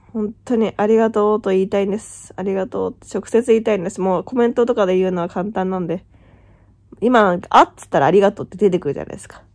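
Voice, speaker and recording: A woman talks at a very fast pace. Her voice sits at a medium pitch with ordinary variation. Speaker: YouTuber, vlogger. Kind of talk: casual vlog talk to camera. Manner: chatty, rambling with fillers.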